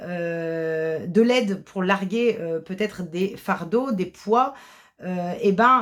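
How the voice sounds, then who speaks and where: A woman speaks at a very slow pace. Her pitch is medium and varies in an ordinary way. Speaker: tarot card reader. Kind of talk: tarot reading. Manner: halting, many hesitations.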